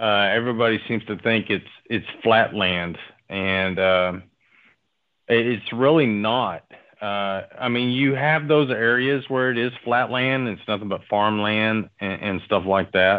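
A man at a medium pitch and fairly slow pace, with ordinary pitch variation. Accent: Southern US. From Oklahoma. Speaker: oil field worker. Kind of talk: storytelling in casual chat.

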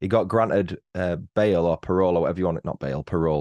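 A man with a British accent speaks. His voice is very deep and low, over a quiet background. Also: dry, close sound with no echo. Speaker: true-crime podcaster. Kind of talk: casual chat. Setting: home studio.

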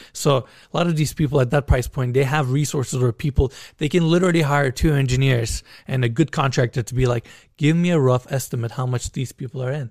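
Someone with a Turkish accent talks at a very fast pace in a somewhat breathy voice with fairly even intonation. The recording is very clean, with a silent background and a dry, close sound with no echo. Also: man, medium pitch for a man. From Turkey. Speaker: YouTuber touring luxury homes. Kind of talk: casual chat.

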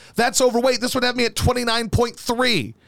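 In a bright, sharp tone, a man speaks at an extremely high pitch. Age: 30s. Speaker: sports radio host. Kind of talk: casual chat.

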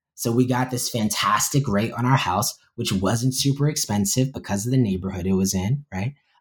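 A man with an American accent speaks at a moderate pace, with hardly any pauses, medium pitch, and ordinary pitch variation. His voice is somewhat breathy on a very clean recording with a silent background. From New York. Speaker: poet and professor. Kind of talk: interview.

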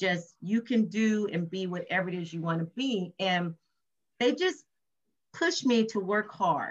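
Somewhat breathy and medium in pitch, a woman speaks at a fairly slow pace with ordinary pitch variation. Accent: American. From Compton, California. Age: 50s. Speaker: nonprofit founder and author. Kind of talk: interview. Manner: talkative.

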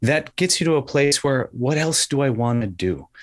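A man with an American accent speaks at a medium pitch in a normal speaking voice. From Wisconsin. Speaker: nonprofit director and podcast host. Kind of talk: radio interview.

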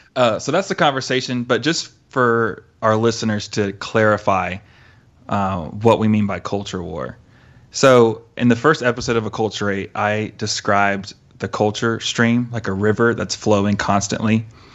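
A man with a plain, everyday voice, fairly low in pitch, with ordinary pitch variation and a moderate pace. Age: 30s. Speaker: youth pastor and podcast host. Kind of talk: casual chat.

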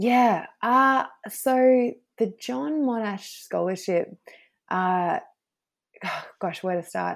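Speaking at a very slow pace with long, frequent pauses, a woman in an Australian accent uses a fairly high pitch on a very clean recording with a silent background. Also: lively intonation. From Australia, Snowy Mountains NSW. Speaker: international lawyer. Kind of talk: interview.

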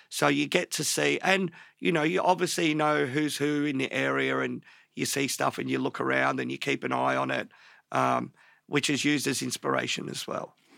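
Speaking at a moderate pace with an Australian accent, a man is heard on a very clean recording with a silent background. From Australia, Melbourne northern suburbs. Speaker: tattoo artist. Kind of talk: casual interview chat.

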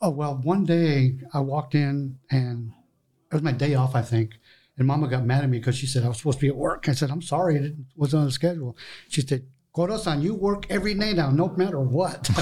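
The man talks at a very fast pace in a fairly high pitch, his tone dark and mellow. His voice is somewhat breathy, with ordinary pitch variation. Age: 60s. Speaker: sushi chef and restaurant owner. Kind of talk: interview. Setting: studio.

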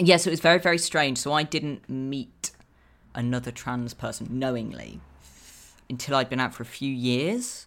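With an English accent, a woman speaks at a moderate pace in a very deep, low voice with vocal fry and ordinary pitch variation. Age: 20s. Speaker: author. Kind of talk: casual chat. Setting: video call.

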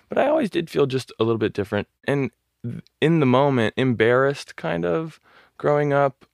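Against a quiet background, a man with an American accent and an unremarkable speaking voice talks at a moderate pace with lively intonation. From Southern California, Orange County. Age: 20s. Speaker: model and visual artist. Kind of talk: interview conversation.

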